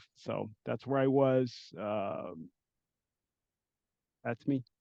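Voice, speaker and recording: Speaking very slowly, a man with an American accent uses a medium pitch. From US West Coast, San Francisco Bay Area. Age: 60s. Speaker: educator and administrator. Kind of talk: interview. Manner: hesitant, many fillers.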